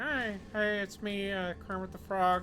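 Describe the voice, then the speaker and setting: In a put-on character voice, a female-sounding speaker talks at a fairly slow pace and a medium pitch, with clear background noise behind her. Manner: mild, gentle.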